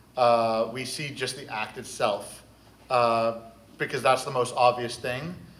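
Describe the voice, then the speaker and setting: A man talks at a fairly slow pace. His voice carries an audible room echo. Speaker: therapist. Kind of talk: panel discussion. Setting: convention stage with audience. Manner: loud.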